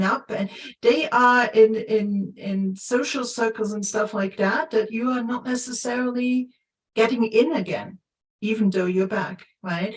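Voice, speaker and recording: Speaking at a fairly slow pace, a woman keeps her intonation fairly even. Her pitch is fairly high. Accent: Luxembourgish. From Luxembourg. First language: Luxembourgish. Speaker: coach. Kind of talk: casual chat. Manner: halting, many repetitions and fillers.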